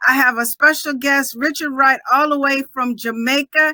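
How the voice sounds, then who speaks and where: A woman projects a raised voice at a high pitch with a bright, sharp tone, fairly even intonation and a moderate pace, in a dry, close sound with no echo. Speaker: podcast network host. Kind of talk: live show interview. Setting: live video stream. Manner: loud.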